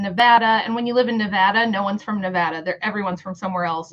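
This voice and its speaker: An Upper Midwest accent over noticeable background noise. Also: woman. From Michigan.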